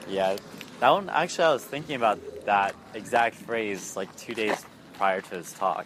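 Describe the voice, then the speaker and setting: Lively intonation from a man at a moderate pace, with big swings in loudness and noticeable background noise. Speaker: dating coach. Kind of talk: coaching session. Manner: unfazed.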